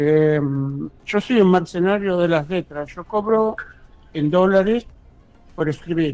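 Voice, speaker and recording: Music plays in the background as a man speaks at a very slow pace. His voice is high in pitch. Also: ordinary pitch variation. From Buenos Aires, Argentina. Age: 70s. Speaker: ghostwriter and university lecturer. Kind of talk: interview.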